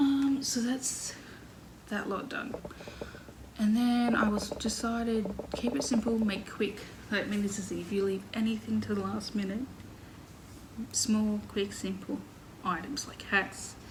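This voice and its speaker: A woman with an Australian accent and a fairly high voice speaks fairly slowly with fairly even intonation and long, frequent pauses, over noticeable background noise and audible room echo. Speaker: crochet podcaster. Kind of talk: casual chat.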